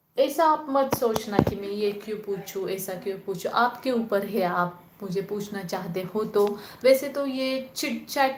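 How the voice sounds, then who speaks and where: In a room with audible echo, a woman speaks with a Marathi accent. Her pitch is medium, with ordinary variation. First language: Marathi (speaking Hindi). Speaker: spiritual channel host. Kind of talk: live stream Q&A chat. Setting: live online call. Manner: casual, conversational.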